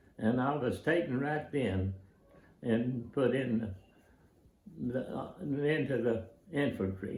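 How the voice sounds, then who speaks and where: Amid audible room echo, a man at a medium pitch speaks very slowly in a somewhat breathy voice, with long, frequent pauses and ordinary pitch variation. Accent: American. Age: 90s. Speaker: war veteran. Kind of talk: personal testimony / recollection. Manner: halting, many fillers and restarts.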